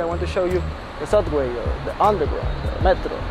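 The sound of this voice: Music plays clearly in the background. Over it, a man speaks at a fairly quick pace with a fairly high pitch.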